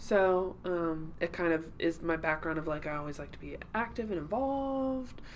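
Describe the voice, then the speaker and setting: A woman with an American accent speaks at a fairly low pitch and moderate pace, with very wide pitch swings and hardly any pauses. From Cincinnati area, Ohio. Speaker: real estate agent. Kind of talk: casual chat.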